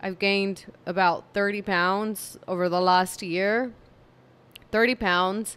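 A woman speaks slowly at a medium pitch, her tone clear, smooth, fairly bright and tired, with fairly even intonation.

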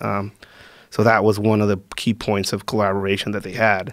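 A man with a Spanish accent at a fairly low pitch and fairly quick pace, with a dry sound, no echo and a quiet background. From Mexico, northern border region. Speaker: security specialist and combatives instructor; combatives instructor. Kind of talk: casual interview conversation. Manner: halting, with frequent fillers and repeats. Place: studio. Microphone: studio mic.

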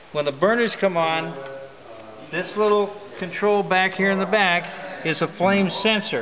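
A man talks at a fairly slow pace, his pitch high with ordinary variation. Faint background noise sits underneath.

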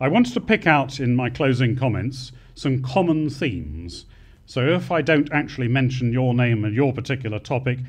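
Over a quiet background, a man talks fairly quickly in a somewhat breathy voice. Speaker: conference speaker. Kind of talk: closing remarks speech. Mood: formal, appreciative. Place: hall. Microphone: podium.

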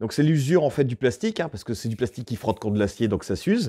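A man speaks in a dark, mellow tone against a quiet background. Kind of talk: tutorial. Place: workshop.

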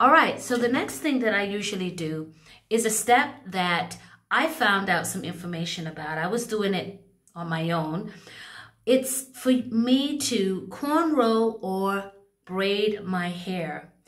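Against a quiet background, a woman with an American accent speaks very slowly at a medium pitch with lively intonation. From United States. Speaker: hair care vlogger. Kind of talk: tutorial. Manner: casual, with frequent filler words. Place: bathroom. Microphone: phone near.

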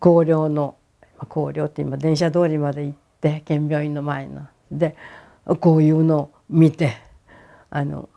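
Against a quiet background, a woman with a Hiroshima accent speaks in a very deep, low pitch with a dark, mellow tone and flat, monotone intonation. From Hiroshima, Japan; Japan. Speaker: atomic bomb survivor. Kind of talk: testimony. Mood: calm, at times emotional. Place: home room. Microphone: lapel.

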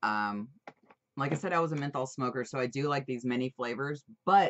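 Amid light background noise, a woman with a very deep, low pitch speaks at a fairly quick pace with ordinary pitch variation. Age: 21 or older. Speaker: vaping product reviewer. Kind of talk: casual product review. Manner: animated. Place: home room. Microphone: webcam.

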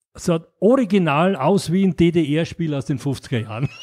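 A man's fairly high voice with lively intonation, in a dry, close sound with no echo. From Austria, Graz. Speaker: board game publisher. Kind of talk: interview. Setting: in person, Mallorca. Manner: halting, many fillers.

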